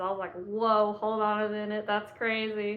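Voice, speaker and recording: A woman with a Southern US accent at a moderate pace. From Georgia, US. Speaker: psychic medium. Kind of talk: casual talk to camera.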